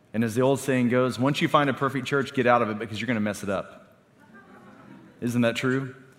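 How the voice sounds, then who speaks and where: With an unremarkable speaking voice, a man talks at a fairly quick pace in a medium pitch with fairly even intonation. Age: 40s. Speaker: pastor. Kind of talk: sermon.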